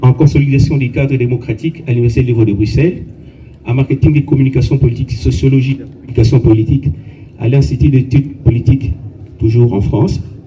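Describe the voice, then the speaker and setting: Noticeable background noise sits under a man speaking at a very fast pace, at medium pitch with ordinary pitch variation. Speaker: colleague reading the deceased's biography at a funeral. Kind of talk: funeral eulogy, reading a biography.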